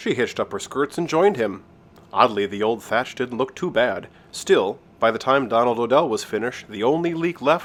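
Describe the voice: Lively intonation runs through the delivery. It is plain reading aloud.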